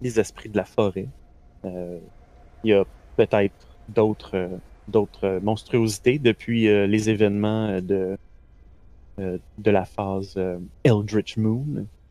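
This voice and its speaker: Speaking very slowly with long, frequent pauses, a man with a Quebec accent keeps a fairly low pitch and fairly even intonation. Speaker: game master running a tabletop role-playing stream. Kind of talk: tabletop role-play narration and live game chat. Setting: live stream online. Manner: halting, many fillers and repetitions.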